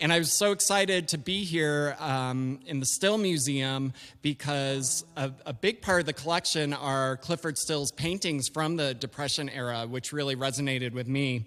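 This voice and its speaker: Recorded very cleanly with a silent background, a man with an American accent uses a normal speaking voice, fairly high in pitch with ordinary variation, at a moderate pace with hardly any pauses. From Wisconsin, Milwaukee. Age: 40s. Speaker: singer-songwriter. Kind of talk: casual stage banter. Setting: museum concert, recorded.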